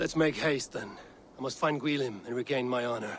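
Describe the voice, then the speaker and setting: Putting on a character voice, a man speaks at a fairly quick pace and a medium pitch. His voice is raspy. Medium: video game. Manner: blunt, earnest.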